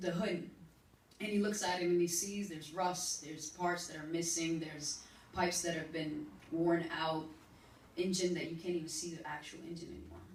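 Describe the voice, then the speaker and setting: A woman with a fairly low pitch speaks at a moderate pace with fairly even intonation, in an unremarkable speaking voice. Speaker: spoken word poet. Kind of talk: spoken word poetry performance.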